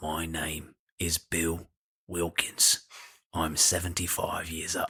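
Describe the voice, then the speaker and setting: A man's put-on character voice, raspy and very deep and low in pitch, at a fairly slow pace. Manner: creepy.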